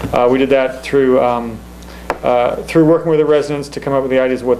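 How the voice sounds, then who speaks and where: Amid noticeable background noise, a man talks in a monotone, flat intonation. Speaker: town recreation commission chair. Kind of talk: public meeting presentation. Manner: fast; halting, many fillers.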